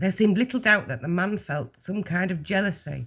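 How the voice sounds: Typical pitch movement in a natural reading voice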